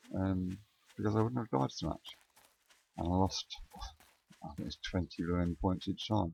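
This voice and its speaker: With long, frequent pauses, a man speaks in a very deep, low pitch and a dark, mellow tone, the sound dry and close with no echo. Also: ordinary pitch variation, moderate pace. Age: old. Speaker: gaming video creator. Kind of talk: let's play commentary. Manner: mumbling; halting, many pauses and ums.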